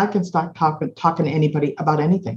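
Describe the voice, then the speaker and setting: The voice is somewhat breathy, with a dark, mellow tone. It speaks with an American accent. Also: woman. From Boston, Massachusetts. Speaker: advertising agency founder. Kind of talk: interview.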